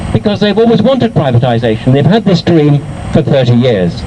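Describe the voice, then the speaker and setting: Speaking at a very fast pace, a man with a fairly high pitch makes very wide pitch swings over noticeable background noise. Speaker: professor and author. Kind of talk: political rally speech. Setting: outdoors. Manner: impassioned, rhetorical.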